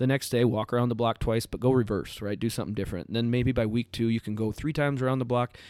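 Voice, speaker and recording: Talking very fast with hardly any pauses, a man with an American accent uses an animated tone at medium pitch, recorded with a dry, close sound and no echo. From US Midwest, Iowa. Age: 30s. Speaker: CrossFit coach and gym owner. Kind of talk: podcast interview.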